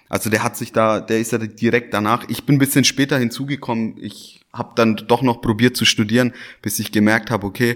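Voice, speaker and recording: Over a very clean recording with a silent background, a man of medium pitch speaks at a fairly quick pace with fairly even intonation. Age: 30s. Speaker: restaurant owner. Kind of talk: casual interview. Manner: hesitant, repeats words.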